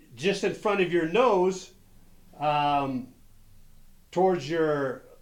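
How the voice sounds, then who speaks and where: Amid audible room echo, a man with a high pitch and lively intonation speaks at a very slow pace, leaving long, frequent pauses. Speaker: golf instructor. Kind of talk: tutorial.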